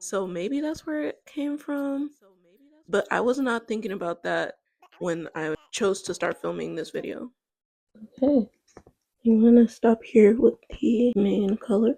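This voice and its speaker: Soft-spoken and fairly high-pitched, a woman talks at a fairly slow pace with long, frequent pauses, lively intonation and a dark, mellow tone, in dry, close sound with no echo. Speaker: art content creator. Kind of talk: casual draw-along narration. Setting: home, late at night. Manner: soft-spoken, very quiet. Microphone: too quiet.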